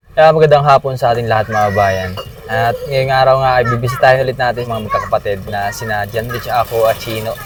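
Over noticeable background noise, a man at medium pitch talks at a very fast pace with fairly even intonation. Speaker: vlogger doing charity visits. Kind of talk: casual vlog narration.

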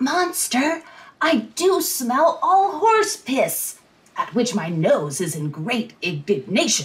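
A put-on character voice, high in pitch, delivers its lines at a very slow pace. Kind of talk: Shakespearean comic acting. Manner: silly, excitable.

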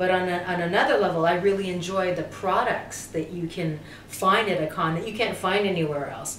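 The speech moves at a moderate pace. There is audible room echo and light background noise. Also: woman. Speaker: interviewee, actress guest at a convention. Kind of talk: interview answer. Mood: warm, cheerful, animated. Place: home room.

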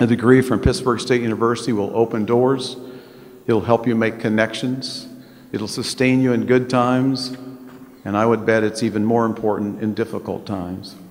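A man's intonation stays monotone and flat as he talks at a moderate pace. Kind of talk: ceremonial speech. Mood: warm, lightly humorous. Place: hall. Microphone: podium.

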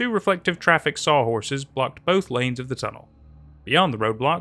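A natural voice reads the words. Its intonation stays lively.

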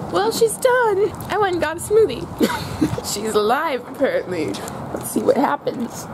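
Her pitch is extremely high as this woman speaks at a moderate pace. Noticeable background noise is audible. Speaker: vlogger. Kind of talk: casual vlog chat.

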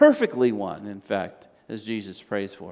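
Speaking at a fairly slow pace, a man makes big pitch swings in a slightly mellow tone.

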